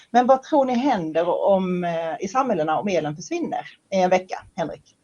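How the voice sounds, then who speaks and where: Moderate-paced speech from a woman with a west Swedish accent, medium pitch and very wide pitch swings. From western Sweden. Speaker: moderator. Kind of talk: moderated panel discussion. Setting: livestream.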